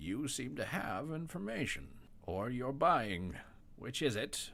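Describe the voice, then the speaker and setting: In a put-on character voice, a man at medium pitch talks at a fairly slow pace with very wide pitch swings. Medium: actual play. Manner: composed, polite.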